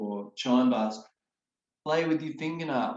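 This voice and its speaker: This is a man speaking with an Australian accent. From Sydney, Australia. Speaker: children's songwriter, retired music teacher. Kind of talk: interview answer.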